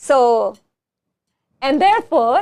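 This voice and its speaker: Very slowly, a woman speaks in a Tamil accent. Her high voice swings very widely in pitch. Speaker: talk show host. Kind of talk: casual chat.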